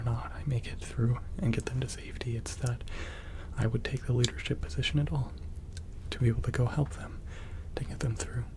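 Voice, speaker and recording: Someone soft-spoken talks at a moderate pace over noticeable background noise. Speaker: ASMR creator. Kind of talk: soft-spoken ASMR talk. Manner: halting.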